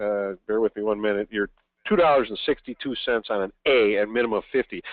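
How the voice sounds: A man talks at a fast pace with ordinary pitch variation. The recording is dry and close, without echo.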